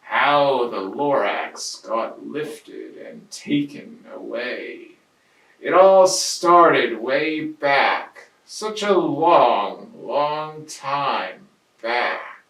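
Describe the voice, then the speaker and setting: Putting on a character voice, a man speaks at a very slow pace with a fairly high pitch and big swings in loudness, with a slight echo. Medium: read story. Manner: hushed, confiding.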